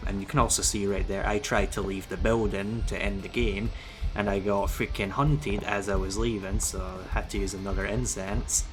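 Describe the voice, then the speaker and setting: There is audible room echo as a man talks at a moderate pace. Music plays in the background. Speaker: gaming youtuber. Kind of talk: tutorial. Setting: voiceover over gameplay footage. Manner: stuttering, halting.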